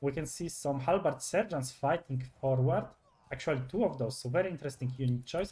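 A man talks at a fairly quick pace with fairly high pitch and ordinary pitch variation. His voice is somewhat breathy. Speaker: esports commentator. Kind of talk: live sports commentary on a game match.

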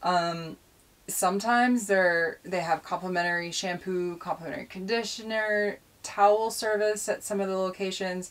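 The woman talks at a moderate pace with fairly even intonation. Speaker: van life vlogger. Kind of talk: casual vlog chat.

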